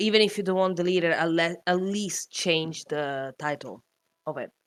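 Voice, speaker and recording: In a very clean recording with a silent background, a woman with a non-native accent speaks at a fairly slow pace, her fairly low pitch carrying lively intonation. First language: not English. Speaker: streamer. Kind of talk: casual chat. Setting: livestream call. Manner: halting.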